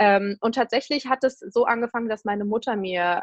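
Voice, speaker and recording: Fairly high in pitch, a woman speaks with ordinary pitch variation. The sound is dry and close, with no echo. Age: 20s. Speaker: blogger and author on eating disorders. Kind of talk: interview.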